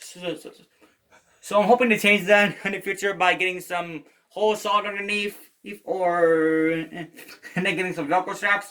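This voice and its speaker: A raised, projected voice moves at a moderate pace with fairly even intonation and big swings in loudness. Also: man, high pitch for a man. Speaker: guitarist, video creator. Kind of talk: gear rundown tutorial. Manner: halting, repeated words.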